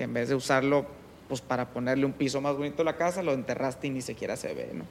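He talks very fast. This man's voice is fairly high in pitch. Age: 30s. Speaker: construction company manager. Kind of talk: interview conversation. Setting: at his home.

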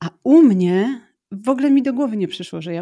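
A woman's dark, mellow tone at a moderate pace, with ordinary pitch variation. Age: 40s. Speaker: marketing strategist with ADHD. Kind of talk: casual interview conversation.

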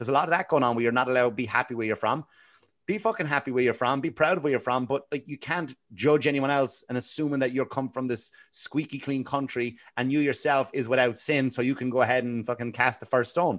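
A man with a Wexford Irish accent, talking at a very fast pace. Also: medium pitch for a man, ordinary pitch variation, quiet background. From Ireland, Wexford. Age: 40s. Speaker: comedian. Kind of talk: casual chat.

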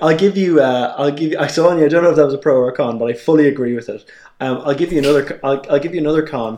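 A very fast-talking man with a dark, mellow tone, fairly high pitch and ordinary pitch variation. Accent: Irish. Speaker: podcast co-host. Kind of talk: casual chat.

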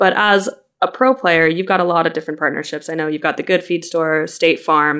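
In a normal speaking voice with an American accent, a woman talks at a fairly quick pace, her fairly low pitch varying in an ordinary way, on a very clean recording with a silent background. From US Midwest, Chicago. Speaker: podcast host, trade journalist. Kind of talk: interview.

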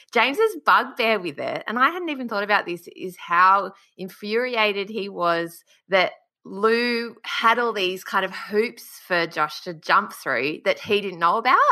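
Over a quiet background, a woman with an Australian accent speaks at a fairly slow pace, her medium-pitched voice bright and sharp, with lively intonation. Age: 30s. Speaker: podcast host. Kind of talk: casual interview chat.

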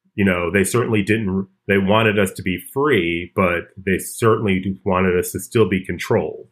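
A man's fairly low voice, a normal speaking voice, with an American accent, fairly even intonation and hardly any pauses. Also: moderate pace. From Chicago. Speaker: comedian. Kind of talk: casual chat.

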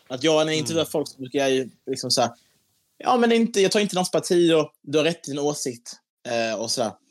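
This man's pitch is fairly high and swings very widely. He talks at a fairly quick pace. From Skåne, Sweden. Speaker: TikTok creator. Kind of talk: casual interview chat.

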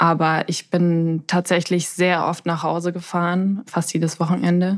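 Monotone, flat intonation at a moderate pace. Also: woman, very clean recording, silent background. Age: 20s. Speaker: pharmacist and bereaved relative. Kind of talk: interview.

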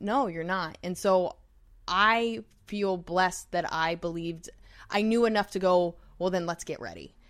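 An unremarkable speaking voice from a woman with an American accent, medium pitch and ordinary pitch variation, in a very clean recording with a silent background. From New York. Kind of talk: casual chat.

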